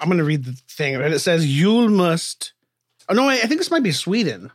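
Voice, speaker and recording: A man talks fairly quickly with lively intonation. He has a plain, everyday voice. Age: 40s. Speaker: podcast host. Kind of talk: casual chat. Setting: live stream.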